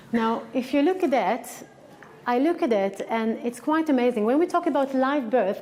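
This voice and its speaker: This woman has a high pitch and talks at a moderate pace. The rise and fall of her voice is ordinary. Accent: strong Israeli. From Israel. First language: Hebrew. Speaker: acupuncturist and researcher. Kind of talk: lecture. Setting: conference stage with audience. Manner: animated.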